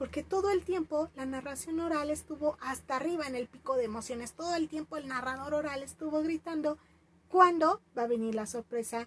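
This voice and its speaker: Her pitch is high for a woman, with ordinary pitch variation. She speaks at a fairly quick pace. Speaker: storytelling teacher. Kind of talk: tutorial.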